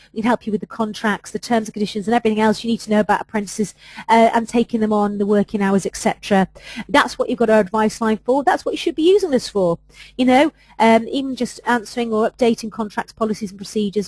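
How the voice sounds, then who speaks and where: A woman with a fairly high, somewhat breathy voice talks at a very fast pace with ordinary pitch variation, in a dry, close sound with no echo. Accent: English. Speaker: HR adviser presenting webinars. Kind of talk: webinar presentation.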